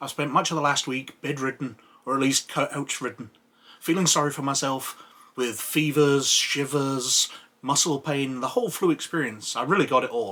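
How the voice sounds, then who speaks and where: In a bright, sharp tone, a man speaks with ordinary pitch variation. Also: fairly high pitch for a man, moderate pace. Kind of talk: casual talk to camera, opinion rant.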